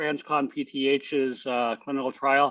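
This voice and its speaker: A man's fairly high-pitched, monotone voice with flat intonation. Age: 60s. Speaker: patient with hypoparathyroidism. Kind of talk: support group chat. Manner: halting.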